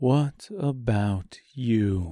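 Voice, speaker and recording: A man performs a put-on character voice at a medium pitch with lively intonation. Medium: read story. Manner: quiet, firm.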